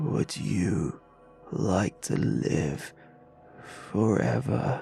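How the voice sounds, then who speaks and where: Very deep and low, a man's put-on character voice makes very wide pitch swings at a very slow pace over clear music in the background. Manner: hissing, menacing.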